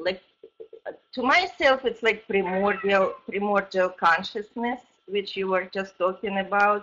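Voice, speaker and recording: With music in the background, the speaker uses lively intonation. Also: woman. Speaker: audience questioner. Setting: online call.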